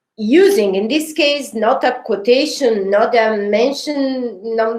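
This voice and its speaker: A woman speaks at a fairly slow pace with a fairly high pitch and ordinary pitch variation. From Sicily, Italy. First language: Italian. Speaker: design history researcher. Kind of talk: academic seminar talk. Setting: online seminar. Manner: halting, many filler sounds.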